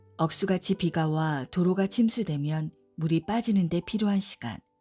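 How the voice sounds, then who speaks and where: A woman speaks with lively intonation at a fairly low pitch. Music plays in the background. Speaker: audiobook narrator. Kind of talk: audiobook essay reading, sleep-friendly narration.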